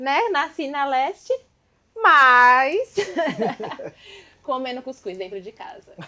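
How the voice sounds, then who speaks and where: A woman talks at a very slow pace with long, frequent pauses. Her raised, projected voice sits high and makes very wide pitch swings. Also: big swings in loudness. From São Paulo East Zone periphery. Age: 30s. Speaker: dance group member and show host. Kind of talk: casual talk show chat.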